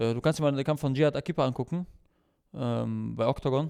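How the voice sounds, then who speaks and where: Recorded very cleanly with a silent background, a man speaks at a fairly high pitch. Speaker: MMA fighter and cornerman. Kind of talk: casual chat. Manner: animated.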